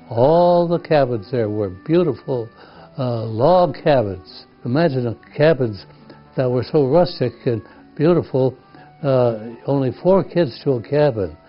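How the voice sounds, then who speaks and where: Music plays in the background as a man speaks at a medium pitch and a fairly slow pace, his intonation lively. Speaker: camp founding father. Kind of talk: reminiscing talk about history.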